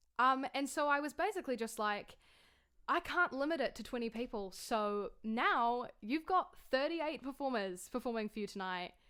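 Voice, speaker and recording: With a New Zealand accent, a woman speaks at a moderate pace. Her high, animated voice swings very widely in pitch. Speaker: online singer and concert host. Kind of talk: casual video introduction.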